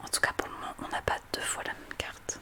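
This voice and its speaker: Noticeable background noise fills the recording. Over it, a woman whispers. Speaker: ASMR content creator. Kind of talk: casual talk to camera, ASMR card-opening. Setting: studio microphone.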